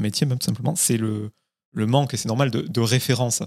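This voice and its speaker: A man with a plain, everyday voice speaks at a medium pitch and a fairly quick pace with ordinary pitch variation. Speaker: podcast host. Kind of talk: interview.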